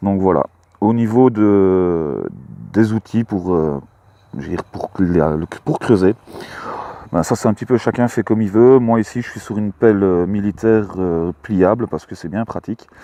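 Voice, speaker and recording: The voice has a dark, mellow tone and ordinary pitch variation, moving at a fairly slow pace in a dry, close sound with no echo. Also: man. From Belgium, Luxembourg province. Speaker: metal detecting hobbyist vlogger. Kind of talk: casual vlog commentary. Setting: outdoors in a field. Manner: hesitant, many fillers.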